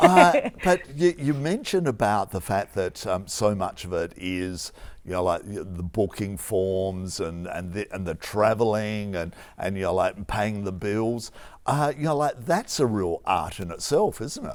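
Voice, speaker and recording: With an Australian accent, a man speaks at a fairly slow pace. His pitch is fairly low. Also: lively intonation. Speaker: TV arts interviewer. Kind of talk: interview questions.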